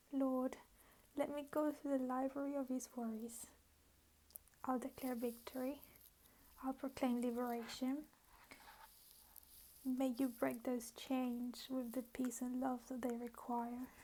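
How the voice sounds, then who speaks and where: A soft-spoken woman's high voice with a dark, mellow tone, monotone, flat intonation, a fairly slow pace and long, frequent pauses. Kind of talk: poetry reading.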